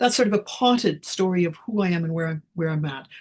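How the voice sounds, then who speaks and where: A woman with a Canadian accent, somewhat breathy and fairly low in pitch. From Canada, northern Alberta. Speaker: history professor. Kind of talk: interview conversation. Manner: hesitant, many fillers.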